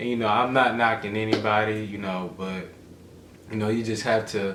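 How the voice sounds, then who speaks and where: A man with a fairly low pitch speaks in a monotone, flat way. Noticeable background noise and audible room echo fill the recording. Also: moderate pace. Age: 20s. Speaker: vlogger's boyfriend. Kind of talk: casual chat.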